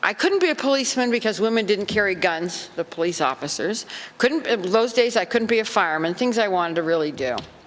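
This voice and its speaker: A woman's lively intonation at a very fast pace, over noticeable background noise. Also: medium pitch for a woman. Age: 70s. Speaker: former showgirl, seminar speaker. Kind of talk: seminar talk with anecdotes. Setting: convention seminar with audience.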